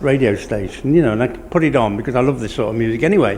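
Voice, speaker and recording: A man's intonation is lively while audible room echo and noticeable background noise fill the recording. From Lincolnshire, England (Cleethorpes). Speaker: community radio volunteer presenter, former DJ. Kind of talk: casual interview chat.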